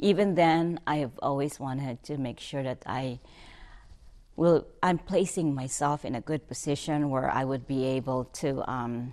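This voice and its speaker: Speaking with a Filipino accent at a fairly slow pace, a woman has a very deep, low pitch and ordinary pitch variation in a very clean recording with a silent background. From Philippines, Batangas City. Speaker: bank executive. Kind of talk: interview testimony. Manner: halting, with fillers and restarts.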